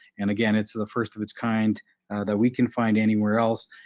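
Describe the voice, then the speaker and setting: Monotone and flat, a man with a fairly low pitch races along at a very fast pace. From Ontario, Manitoulin Island (Anishinaabe community). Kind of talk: conference presentation.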